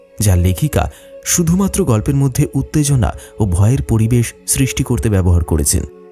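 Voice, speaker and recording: A man's medium-pitched voice with very wide pitch swings and very even loudness, music in the background. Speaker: horror story narrator. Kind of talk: intro address to listeners.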